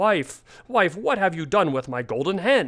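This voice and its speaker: A man's put-on character voice, raised and projected, high-pitched, at a moderate pace. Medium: read story. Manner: gruff, domineering.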